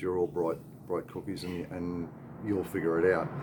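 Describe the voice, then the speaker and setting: A man talks at a moderate pace in an Australian accent. His pitch is very deep and low, with noticeable background noise. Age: 60s. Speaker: expat vlogger. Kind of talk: casual vlog advice talk. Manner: halting, many fillers.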